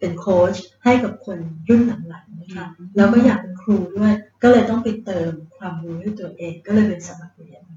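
Hers is an unremarkable speaking voice, medium in pitch, with fairly even intonation. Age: 50s. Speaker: hotel chief executive. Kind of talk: interview. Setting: on location in Phuket.

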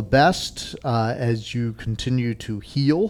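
Over a very clean recording with a silent background, a man speaks in an unremarkable speaking voice at a medium pitch with ordinary pitch variation. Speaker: cycling podcast host. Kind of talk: casual chat. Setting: bike shop recording.

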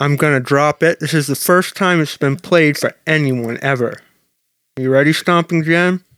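Putting on a character voice, a man mumbles at a fairly high pitch. His pace is moderate and his intonation fairly even.

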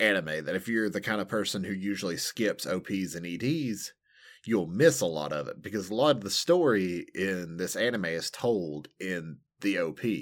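On a very clean recording with a silent background, a man with a fairly low pitch and an American accent speaks at a moderate pace with lively intonation. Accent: regional American. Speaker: anime podcast co-host. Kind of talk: casual chat.

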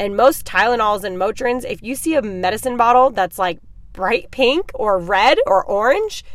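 Her high-pitched voice has an animated tone as the woman speaks. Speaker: podcast host. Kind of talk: casual monologue. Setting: in a parked car.

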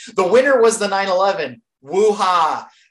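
A woman's plain, everyday voice at a medium pitch, with lively intonation. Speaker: podcast host. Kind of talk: casual chat.

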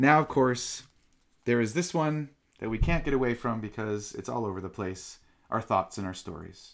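The recording is very clean, with a silent background. A man with an ordinary speaking voice talks at a medium pitch and moderate pace, with lively intonation. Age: 40s. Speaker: meditation teacher. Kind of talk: dharma talk.

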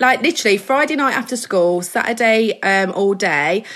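A woman with an English Midlands accent talks at a moderate pace. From English Midlands, mining village. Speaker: hairstylist and educator. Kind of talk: casual interview chat.

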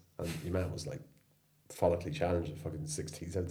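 A man's somewhat breathy voice, dark and mellow in tone, with lively intonation at a moderate pace amid audible room echo. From Ireland and England, mixed. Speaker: surf school owner, former social care worker. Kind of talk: casual chat over beers. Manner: animated.

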